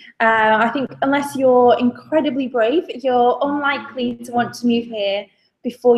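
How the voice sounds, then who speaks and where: High female voice with fairly even intonation. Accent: northern English. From northern England. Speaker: graduate recruitment staff. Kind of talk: webinar presentation. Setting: video webinar. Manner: hesitant, many fillers.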